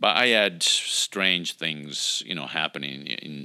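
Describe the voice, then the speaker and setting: A man speaks at a very slow pace in a bright, sharp tone with vocal fry. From Italy. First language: Italian. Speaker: pastor. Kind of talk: interview.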